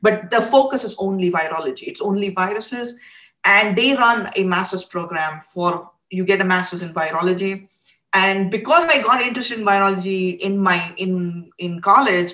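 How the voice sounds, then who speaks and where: With a bright, sharp tone, a woman speaks at a moderate pace and ordinary pitch variation. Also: medium pitch for a woman. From India. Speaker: virology research scientist. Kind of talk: interview. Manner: halting, many fillers.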